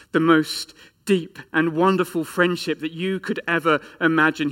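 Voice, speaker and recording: The voice has an English accent and a bright, sharp tone. The recording is very clean, with a silent background. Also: man. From England. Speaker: pastor. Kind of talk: sermon.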